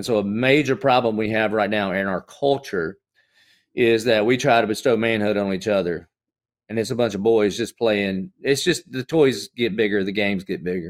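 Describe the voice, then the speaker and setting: With a Southern US accent, a man speaks at a fairly low pitch. His pace is moderate. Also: ordinary pitch variation, very clean recording, silent background. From US South. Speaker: pastor. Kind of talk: casual chat. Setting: studio.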